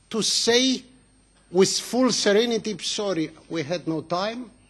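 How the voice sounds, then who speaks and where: A man talks at a high pitch with ordinary pitch variation. His pace is fairly slow, with noticeable background noise. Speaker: politician. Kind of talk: parliamentary speech. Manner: impassioned.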